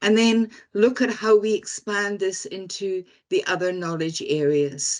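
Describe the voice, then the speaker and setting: Lively intonation marks this woman's medium-pitched voice as she speaks at a very slow pace. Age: 70s. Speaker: data management consultant. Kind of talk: webinar presentation. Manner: hesitant, many fillers.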